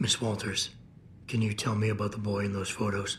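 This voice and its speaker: Raspy put-on character voice from a man, fairly low in pitch, fairly quick, with monotone, flat intonation and clear background noise. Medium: video game. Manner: low, controlled, terse.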